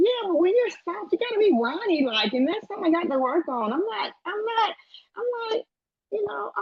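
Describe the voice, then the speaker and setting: Her extremely high pitch jumps through very wide swings as the woman speaks at a moderate pace. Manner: aggressive.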